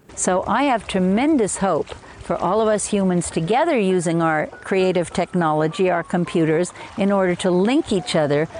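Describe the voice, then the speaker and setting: A woman with an American accent has a normal speaking voice at a medium pitch. She keeps a moderate pace, ordinary pitch variation and very even loudness. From US Northeast, Hudson Valley of New York State. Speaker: evolutionary biologist and author. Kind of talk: interview.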